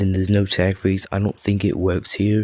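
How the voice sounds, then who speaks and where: Over music in the background, a man speaks quietly at a fairly low pitch. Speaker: gaming video creator. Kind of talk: casual game mod review talk. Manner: quiet, low-volume, recorded at night.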